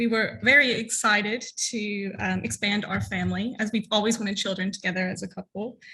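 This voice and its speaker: A woman with an American accent talks at a fairly quick pace in a bright, sharp tone. Her intonation stays fairly even, with vocal fry throughout. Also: medium pitch for a woman. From US South. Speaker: LGBTQ+ content creator and activist. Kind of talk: conference talk.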